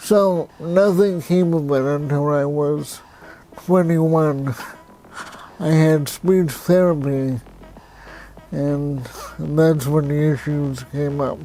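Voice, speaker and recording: Noticeable background noise surrounds a man speaking at a very slow pace with long, frequent pauses. His pitch is fairly high and his intonation fairly even. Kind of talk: personal story vlog.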